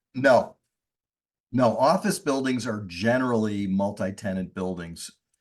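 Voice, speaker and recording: Fairly slow delivery in a plain, everyday voice, pitch varying in an ordinary way. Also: man, fairly low pitch for a man. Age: 60s. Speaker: real estate investor. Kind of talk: podcast interview.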